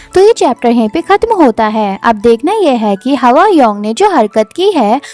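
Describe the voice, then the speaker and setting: Over music in the background, a woman's high voice swings very widely in pitch, the sound dry and close with no echo. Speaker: manhwa story explainer. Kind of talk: story narration recap.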